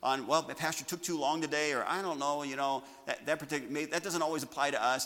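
A man speaks very fast while noticeable background noise runs underneath. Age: 50s. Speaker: pastor. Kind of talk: sermon.

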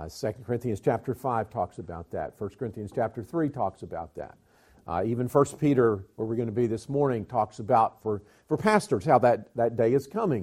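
A man with a Southern US accent, medium pitch, fairly quick pace and ordinary pitch variation. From US South (Georgia, Alabama). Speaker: pastor and mission agency director. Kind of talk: sermon-style Bible teaching. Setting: church.

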